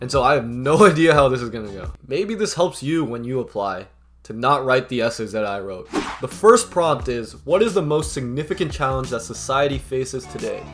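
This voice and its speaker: A man with medium pitch and vocal fry speaks fairly quickly, his loudness swinging widely and his pitch moving through very wide swings. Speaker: YouTuber. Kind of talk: casual vlog commentary with reading aloud. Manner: casual, drops g in -ing words.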